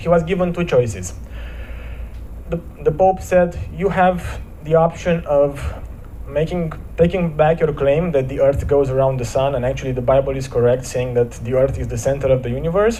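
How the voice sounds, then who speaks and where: With ordinary pitch variation, a man is heard amid audible room echo and noticeable background noise. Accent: Romanian. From Romania. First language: Romanian. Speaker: motivational speaker. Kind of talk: inspirational talk at church service. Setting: church. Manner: hesitant, with repetitions.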